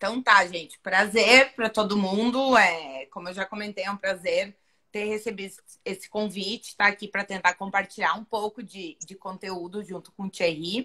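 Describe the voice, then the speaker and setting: Speaking in a Rio Grande do Sul accent, a woman of medium pitch uses a bright, sharp tone at a moderate pace, with fairly even intonation and big swings in loudness. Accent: gaúcho (Rio Grande do Sul) Portuguese. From Rio Grande do Sul, Brazil. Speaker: finance professor. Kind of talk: live online interview. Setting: online live stream.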